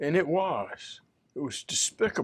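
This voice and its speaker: A man with a Southern US accent and vocal fry speaks in a very clean recording with a silent background. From US South. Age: 70s. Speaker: church minister. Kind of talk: casual chat.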